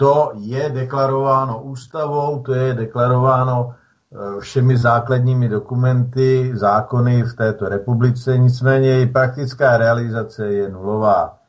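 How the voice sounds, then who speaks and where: A somewhat breathy man speaks at a fairly slow pace and medium pitch in a monotone, flat intonation. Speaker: reserve soldier activist. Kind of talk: radio interview.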